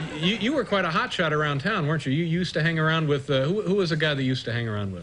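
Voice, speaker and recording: A fairly high-pitched man talking very fast over noticeable background noise. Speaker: talk show host. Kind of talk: talk show host banter.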